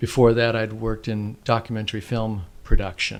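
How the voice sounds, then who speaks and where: In a very clean recording with a silent background, a man with an American accent talks at a moderate pace in a fairly low pitch. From Southern California (Oceanside). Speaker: educator and filmmaker. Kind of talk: casual interview chat. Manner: halting, with false starts.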